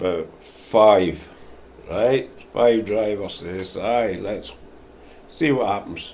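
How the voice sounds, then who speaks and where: Medium in pitch, a man speaks very slowly in a dark, mellow tone. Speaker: volunteer patient transport driver. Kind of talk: interview answer.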